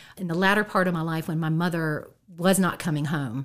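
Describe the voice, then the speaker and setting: In an American accent, a woman talks over a silent background on a very clean recording. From Shenandoah Valley, Virginia (Harrisonburg area). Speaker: guest sharing personal testimony. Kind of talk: testimony. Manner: halting, many fillers.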